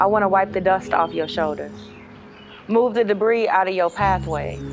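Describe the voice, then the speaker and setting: With music in the background, a woman talks at a moderate pace, her medium-pitched voice fairly even in intonation. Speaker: spoken word poet. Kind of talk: poetry reading.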